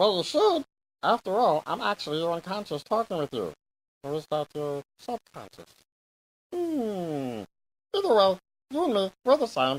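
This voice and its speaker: Using a put-on character voice at a middle pitch, the speaker goes at a moderate pace with long, frequent pauses. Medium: machinima. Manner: chatty, self-satisfied.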